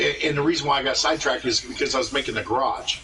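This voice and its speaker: A man's voice comes through over clearly audible background noise. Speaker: gaming streamer. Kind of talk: casual chat. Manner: halting, stuttering.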